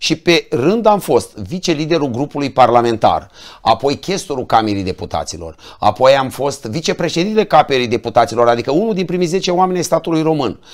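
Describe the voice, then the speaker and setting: Speaking at a fairly quick pace against a quiet background, a man with a fairly high pitch makes very wide pitch swings. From Romania, Roman (Neamț county, Moldavia); Romania. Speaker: politician, member of parliament; politician. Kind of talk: political talk show interview. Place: studio.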